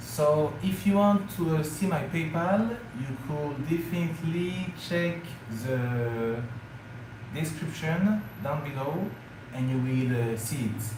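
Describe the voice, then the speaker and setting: A man with a French accent speaks very slowly in a fairly high pitch with lively intonation. Noticeable background noise and audible room echo surround him. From France. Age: 30s. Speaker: travel vlogger. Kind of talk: live stream chat. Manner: hesitant with fillers.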